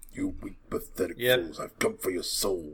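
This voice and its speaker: A man in a put-on character voice. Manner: menacing.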